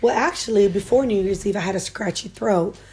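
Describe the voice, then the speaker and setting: This woman's somewhat breathy voice has a dark, mellow tone and ordinary pitch variation. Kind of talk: casual chat.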